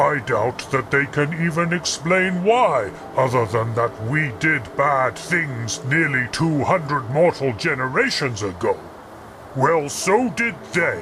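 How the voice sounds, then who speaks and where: Over clear background noise, a man puts on a character voice, fairly high in pitch and at a fairly slow pace. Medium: solo performance. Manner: formal, measured, archaic.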